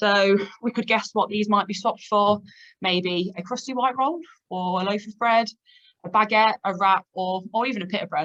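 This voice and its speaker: A woman with a Leicester accent talks at a moderate pace and medium pitch, with ordinary pitch variation. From England, Leicester. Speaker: data analytics manager. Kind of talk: presentation. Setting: online video meeting.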